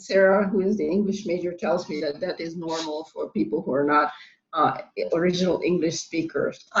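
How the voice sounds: A woman speaks with a non-native accent at a moderate pace. Her pitch is fairly low, with ordinary variation. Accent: noticeable foreign accent in English.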